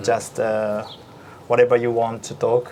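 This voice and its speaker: Background noise is noticeable here. Through it comes a man's voice of medium pitch. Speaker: backgammon supergrandmaster and host. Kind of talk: interview host questions and casual conversation.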